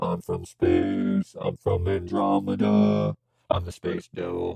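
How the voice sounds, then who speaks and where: Using a put-on character voice, a man speaks at a fairly slow pace in a raspy tone. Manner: scary.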